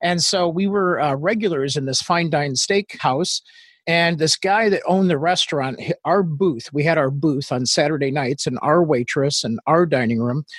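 A man with a plain, everyday voice, fairly high in pitch, at a moderate pace with ordinary pitch variation against a quiet background. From Northwest Indiana, US; raised in England and Australia. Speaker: business founder and social media marketing expert. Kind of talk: casual interview conversation.

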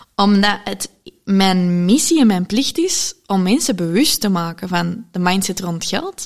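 A woman's medium-pitched voice, an ordinary speaking voice, with ordinary pitch variation. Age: 20s. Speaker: entrepreneur. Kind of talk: casual interview. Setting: living room.

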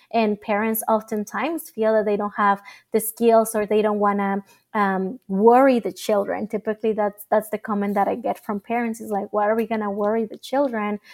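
With a Spanish accent, a woman speaks at a moderate pace in a fairly high, monotone, flat voice, the recording very clean and dry, close with no echo, over a silent background. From Mexico and Mesa, Arizona. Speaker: nonprofit founder. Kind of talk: interview.

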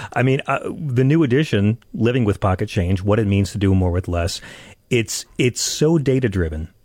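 In an American accent, an unremarkable speaking voice moves at a moderate pace with lively intonation and very even loudness, on a very clean recording with a silent background. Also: man, fairly low pitch for a man. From Long Island, New York. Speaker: radio host. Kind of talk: political talk radio commentary; interview. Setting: studio.

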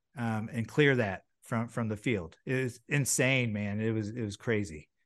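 A man with an ordinary speaking voice talks at a moderate pace and medium pitch, with ordinary pitch variation over a quiet background. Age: 40s. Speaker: former baseball pitcher and broadcaster. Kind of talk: casual chat. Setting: video call.

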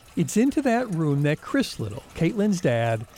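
Against noticeable background noise, a man with a warm, serious tone speaks at a moderate pace. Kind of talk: true-crime podcast narration. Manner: measured, solemn storytelling pace with dramatic gravity; warm, serious, steady reporter delivery.

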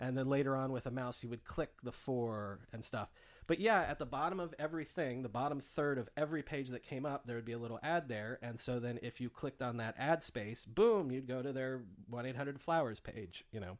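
A man with an ordinary speaking voice talks at a fairly quick pace. His medium pitch shows ordinary variation against a quiet background. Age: 30s. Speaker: podcast host. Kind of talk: casual chat.

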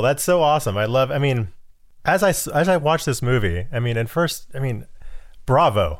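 A man speaks at a medium pitch in an ordinary speaking voice. His pace is fairly quick and his intonation lively. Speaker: podcast interviewer. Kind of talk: interview, casual chat. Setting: video call.

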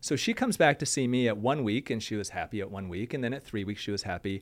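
Talking at a very fast pace with an American accent, a medium-pitched man shows ordinary pitch variation on a very clean recording with a silent background. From Michigan, US Midwest. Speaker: plastic surgeon. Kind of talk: casual chat.

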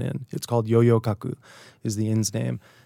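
In a very clean recording with a silent background, a man's dark, mellow voice sits at medium pitch, dry and close with no echo. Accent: American. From US Northeast (Hartford, Connecticut). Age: 30s. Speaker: writer. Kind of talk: casual interview chat. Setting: studio.

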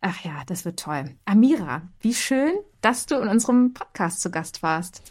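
Somewhat breathy and at a fairly slow pace, a woman of medium pitch speaks with very wide pitch swings. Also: very clean recording, silent background. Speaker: podcast host. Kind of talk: casual chat. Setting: home office. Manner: changes pitch when mic on.

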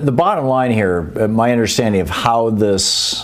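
Fairly slow speech in an American accent, with ordinary pitch variation, audible room echo and noticeable background noise. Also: man. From Michigan, US. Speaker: science radio host. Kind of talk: interview.

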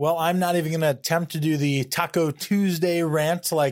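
Over a very clean recording with a silent background, an unremarkable speaking voice moves at a fairly quick pace with ordinary pitch variation. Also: man. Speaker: podcast co-host. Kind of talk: sports podcast chat and interview.

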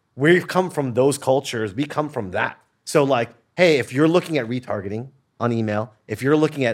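A man at a medium pitch with an American accent, a normal speaking voice, ordinary pitch variation and a fairly quick pace. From Los Angeles. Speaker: digital media entrepreneur. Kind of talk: casual chat.

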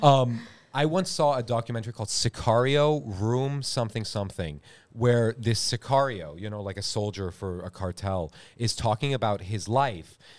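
An ordinary speaking voice with an American accent talks at a moderate pace with lively intonation, on a very clean recording with a silent background. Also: man, medium pitch for a man. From California. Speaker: actor. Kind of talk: casual chat.

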